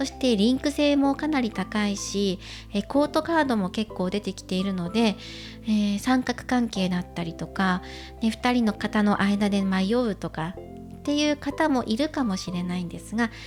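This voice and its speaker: A woman speaks at a moderate pace with lively intonation and a medium pitch, with music in the background. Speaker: tarot reader. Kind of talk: tarot reading to camera.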